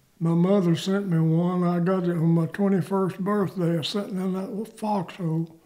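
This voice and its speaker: Speaking in an American accent, a man talks at a moderate pace in a high pitch with monotone, flat intonation. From US South, north Georgia. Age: 90s. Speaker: war veteran. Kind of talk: oral history interview.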